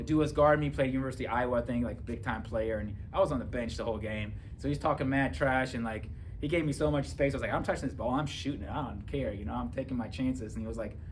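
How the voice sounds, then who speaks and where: A man at medium pitch with vocal fry and lively intonation, talking at a very fast pace amid audible room echo. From Germany. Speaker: police officer and author. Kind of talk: testimony. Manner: casual, filler-heavy.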